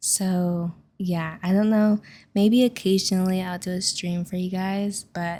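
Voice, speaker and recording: A woman's medium-pitched, somewhat breathy voice, relaxed and dark and mellow in tone, fairly slow and monotone, flat, on a very clean recording with a silent background. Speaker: gaming youtuber. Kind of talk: casual chat over gameplay.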